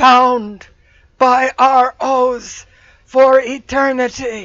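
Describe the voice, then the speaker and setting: A woman's put-on character voice, high-pitched, monotone and flat, at a very slow pace. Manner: solemn, ominous.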